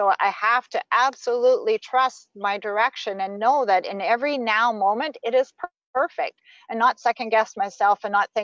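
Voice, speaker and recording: A woman with an ordinary speaking voice, fairly high in pitch with ordinary pitch variation, at a moderate pace in a dry, close sound with no echo. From Saskatchewan, Canada. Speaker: spiritual teacher. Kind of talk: interview.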